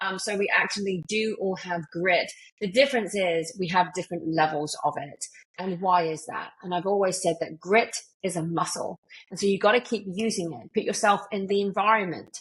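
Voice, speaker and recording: At a moderate pace, a woman with a British accent speaks at a medium pitch with ordinary pitch variation. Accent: UK. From UK. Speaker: motivational speaker and author. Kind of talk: podcast interview.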